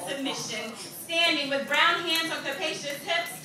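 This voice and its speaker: A woman talks in a raised, projected voice at a moderate pace. Noticeable background noise sits behind her. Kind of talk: spoken word poetry performance.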